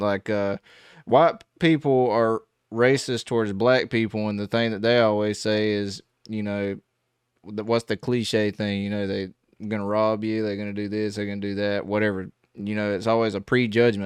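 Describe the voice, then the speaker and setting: With a strong Southern US accent, a man of fairly low pitch speaks in a flat monotone at a moderate pace, the sound dry and close with no echo. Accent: heavy Southern US. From US South. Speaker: gospel musician reacting to music. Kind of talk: casual reaction commentary. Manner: halting, many fillers.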